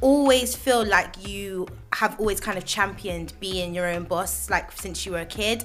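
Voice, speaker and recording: A woman with a West Country accent speaks in an animated tone at a medium pitch, her intonation lively. Music plays in the background. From Bristol, England. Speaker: radio host. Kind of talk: radio interview. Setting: radio studio.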